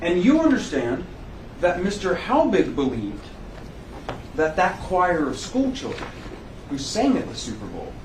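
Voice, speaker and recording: A man with a fairly high pitch speaks at a moderate pace with very wide pitch swings, amid noticeable background noise and audible room echo. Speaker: trial lawyer. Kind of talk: courtroom examination.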